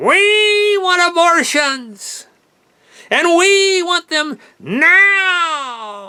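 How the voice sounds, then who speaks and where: A put-on character voice, shrill and extremely high in pitch. It moves at a very slow pace. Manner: angry, shouting.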